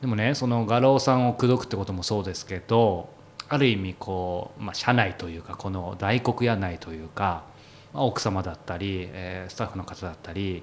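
Using a plain, everyday voice, a man talks at a moderate pace with fairly low pitch, ordinary pitch variation and big swings in loudness. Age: 30s. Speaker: podcast host and interviewer. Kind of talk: casual interview chat.

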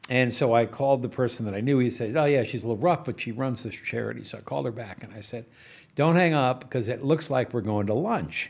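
A man's medium-pitched voice with vocal fry at a very fast pace, ordinary pitch variation, big swings in loudness, and a very clean recording with a silent background. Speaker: entrepreneur. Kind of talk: casual chat.

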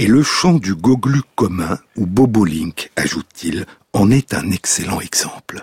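A man's fairly low voice at a very slow pace, lively in intonation, dry and close with no echo. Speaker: radio host. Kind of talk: scripted narration. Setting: radio studio. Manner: lyrical, slow, measured, incantatory delivery.

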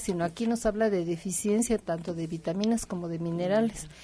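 A woman speaks at a very fast pace at a medium pitch with fairly even intonation. Her tone is dark and mellow, and somewhat breathy. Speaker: naturopathic doctor. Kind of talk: radio health advice.

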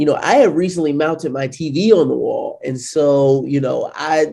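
A man with an American accent speaks in a fairly high pitch. His tone is dark and mellow. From US Midwest, St. Louis, Missouri. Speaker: entrepreneur, product founder. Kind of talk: casual interview.

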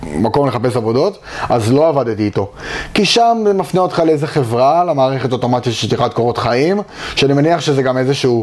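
A man at medium pitch, fairly quick and lively in intonation, with very even loudness and noticeable background noise. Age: 20s. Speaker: junior full stack developer. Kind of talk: interview. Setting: company offices.

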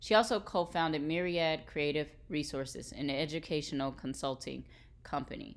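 On a very clean recording with a silent background, a woman with an American accent speaks at a moderate pace in a very deep, low pitch, with vocal fry and ordinary pitch variation. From Texas, US. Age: 30s. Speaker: podcast co-host, lawyer background. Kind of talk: casual interview conversation.

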